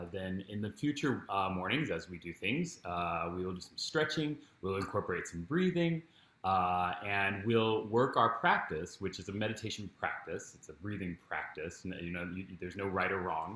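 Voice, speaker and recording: Bright, sharp tone at a moderate pace, with big swings in loudness and audible room echo. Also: man, fairly low pitch for a man. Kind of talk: guided meditation introduction. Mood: warm, calm, friendly. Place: home room. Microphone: camera far.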